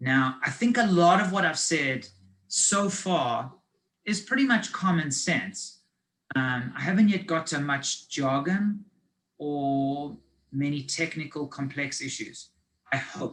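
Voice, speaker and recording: Pitched fairly high, a man speaks at a very slow pace with lively intonation. Room echo is audible. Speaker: finance advisor. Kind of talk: lecture. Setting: video call.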